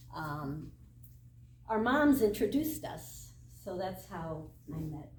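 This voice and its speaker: A woman's voice with an American accent, with audible room echo. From Michigan, US Midwest. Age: 60s. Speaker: triathlon club member. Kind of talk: casual talk.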